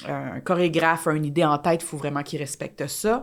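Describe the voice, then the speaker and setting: The woman's intonation is fairly even. Her pitch sits very deep and low. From Quebec. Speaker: dancer and choreographer. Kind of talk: casual chat.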